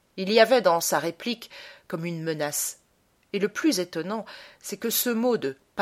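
What comes through is plain reading aloud.

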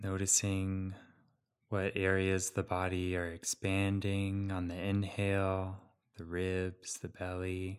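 Very slow, monotone speech from a man with a very deep, low pitch in a calm, soothing tone, on a very clean recording with a silent background. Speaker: meditation guide. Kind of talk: guided meditation. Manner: slow, calm, soothing, with long pauses; gentle, soft-spoken.

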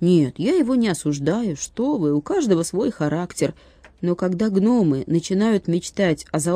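With lively intonation, the passage is read in an unforced reading voice.

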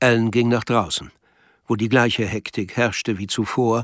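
Speaking at a fairly slow pace, a man keeps a medium pitch. His intonation is fairly even.

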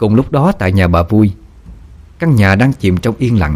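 What you hear is plain reading aloud.

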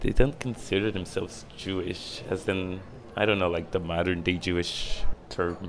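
His pitch very deep and low, a man speaks at a moderate pace with fairly even intonation. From Israel, Dimona. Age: 20s. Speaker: DJ. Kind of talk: interview. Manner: hesitant, many fillers.

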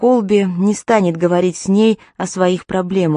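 Simply a natural reading voice

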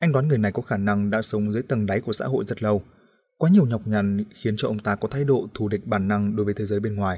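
Someone reads aloud plainly, with the pitch varying in an ordinary way.

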